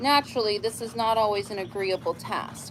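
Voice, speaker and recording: Amid noticeable background noise, a woman with a fairly high pitch speaks at a fairly slow pace with ordinary pitch variation. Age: 70s. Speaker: livestreamer reading books aloud. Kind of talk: casual livestream chat; reading aloud with casual asides.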